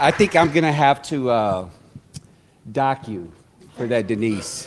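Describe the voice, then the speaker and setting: The speech moves at a fairly slow pace with lively intonation. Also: man, medium pitch for a man. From US South. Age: 40s. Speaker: community organizer. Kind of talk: event speech. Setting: stage with audience. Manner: halting.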